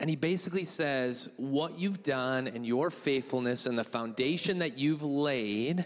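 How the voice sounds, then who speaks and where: With lively intonation, an ordinary speaking voice unfolds at a fairly slow pace. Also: man. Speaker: church member giving a talk. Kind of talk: casual testimony with jokes. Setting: church with audience.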